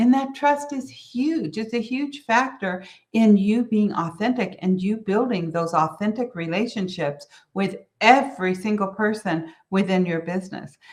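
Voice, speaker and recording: Speaking with an American accent, a woman uses a fairly high pitch and lively intonation, somewhat breathy and at a fairly slow pace. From US, mixed New York and Southern family. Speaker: business coach. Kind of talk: solo business talk.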